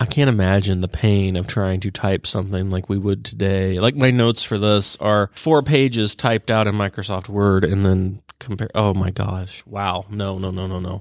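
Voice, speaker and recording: A man with a fairly low pitch speaks in an ordinary speaking voice at a moderate pace, with fairly even intonation and hardly any pauses, on a very clean recording with a silent background. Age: 30s. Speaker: librarian. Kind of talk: casual chat.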